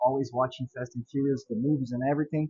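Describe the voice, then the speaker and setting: Somewhat breathy, a man's fairly high voice keeps a fairly even intonation. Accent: Portuguese. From Brazil. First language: Portuguese. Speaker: car enthusiast and YouTuber. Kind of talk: casual video introduction.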